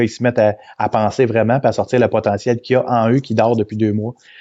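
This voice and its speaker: A man with a dark, mellow tone and a medium pitch speaks at a fairly quick pace with monotone, flat intonation over a quiet background. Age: 50s. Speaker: events company president. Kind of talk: interview. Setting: live video stream. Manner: halting, many repetitions.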